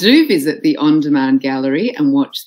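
The woman's tone is dark and mellow. She speaks at a moderate pace with lively intonation. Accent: Australian. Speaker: conference MC. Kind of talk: event announcements. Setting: online conference.

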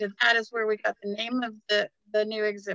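A woman speaks at a fairly quick pace in a fairly high, bright and sharp voice. Her intonation stays monotone and flat, with dry, echo-free sound over a quiet background. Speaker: museum director. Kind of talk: guided virtual tour. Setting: live video stream. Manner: halting. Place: hall. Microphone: phone near.

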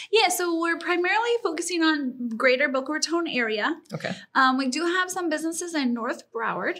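Raising and projecting her voice, a woman speaks at a moderate pace. Her tone is bright and sharp, her intonation lively. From Colorado. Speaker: small business owner. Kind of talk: interview.

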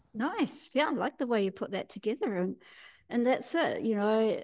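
A woman with a New Zealand accent talks at a moderate pace. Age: 60s. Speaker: healer and teacher; teacher. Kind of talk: interview. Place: home room. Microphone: video call.

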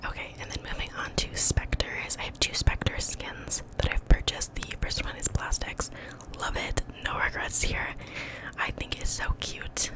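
Whispering at a fairly slow pace, a woman speaks in a relaxed tone. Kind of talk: ASMR gaming video, casual talk to camera. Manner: whispered, relaxed, close-mic. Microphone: studio mic.

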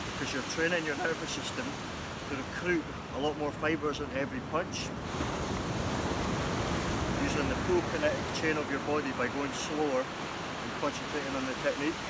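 A man at a moderate pace, with long, frequent pauses, loud background noise, and a dry sound with no echo. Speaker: boxing trainer. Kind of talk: tutorial. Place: beach. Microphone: camera far.

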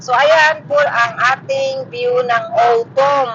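A woman speaks very slowly in a high voice with ordinary pitch variation over noticeable background noise. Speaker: vlogger. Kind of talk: casual vlog talk. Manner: halting. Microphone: phone microphone.

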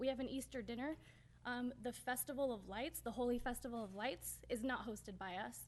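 A woman's fairly quick, shaky voice, fairly high in pitch, with vocal fry and ordinary pitch variation. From US West Coast (Northern California). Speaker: city council member. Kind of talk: public meeting speech. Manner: shaky, emotional.

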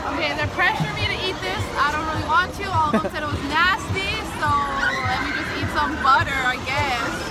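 Loud music plays behind a woman talking at a fairly quick pace, in a dry sound with no echo. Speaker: vlogger. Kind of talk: casual vlog chat. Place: market. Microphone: phone near.

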